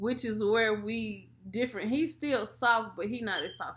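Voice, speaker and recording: Her pitch is fairly high for a woman. She keeps a fairly slow pace. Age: 20s. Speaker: mom vlogger. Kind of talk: casual chat. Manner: loud. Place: home room. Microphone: webcam.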